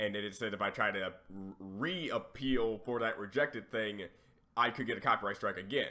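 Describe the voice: A man speaks at a moderate pace with a fairly low pitch and ordinary pitch variation. His raspy voice has a bright, sharp tone.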